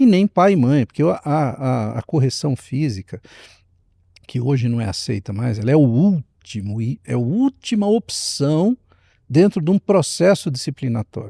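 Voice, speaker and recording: A fairly high man's voice, dark and mellow, with very wide pitch swings at a fairly slow pace, dry and close with no echo, in a very clean recording with a silent background. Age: 60s. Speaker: speaker and leadership mentor. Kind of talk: podcast interview. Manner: animated, storytelling.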